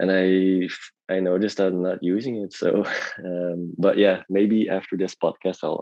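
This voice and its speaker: The speaker talks at a fairly slow pace with monotone, flat intonation. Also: man, very deep, low pitch for a man. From Belgium. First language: not English. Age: 30s. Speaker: artist and illustrator. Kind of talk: podcast interview. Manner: halting, many repeats.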